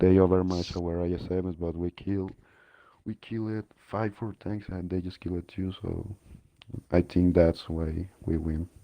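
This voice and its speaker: Very deep, low male voice with a dark, mellow tone and a non-native accent, monotone and flat, at a fairly slow pace against a quiet background. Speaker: esports team player. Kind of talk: post-match interview.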